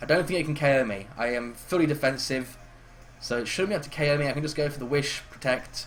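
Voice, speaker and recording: Amid audible room echo, a man with a fairly high voice talks at a very fast pace with ordinary pitch variation. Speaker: gaming commentator. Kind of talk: live commentary. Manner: halting.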